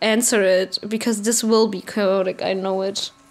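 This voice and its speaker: A woman speaks with a German accent. Her intonation is monotone and flat. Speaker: vlogger. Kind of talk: casual rant to camera. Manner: halting.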